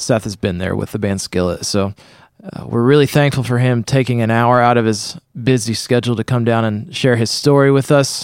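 In an American accent, a man with a plain, everyday voice talks at a fairly quick pace at medium pitch with ordinary pitch variation. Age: 20s. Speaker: podcast host. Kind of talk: show intro and promo; casual interview. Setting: studio.

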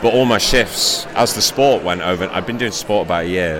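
Noticeable background noise sits behind a man with a fairly low pitch. He speaks at a moderate pace with ordinary pitch variation. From Shrewsbury, England. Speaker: sports podcaster. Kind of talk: casual interview. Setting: live event at a book fair.

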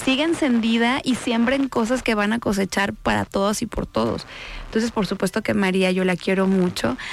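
The voice has a Jalisco accent and ordinary pitch variation. It keeps a moderate pace and very even loudness. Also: woman, fairly high pitch for a woman. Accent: Mexican Spanish, Jalisco. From Mexico, Guadalajara (Jalisco). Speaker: senator. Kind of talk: radio interview. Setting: radio studio.

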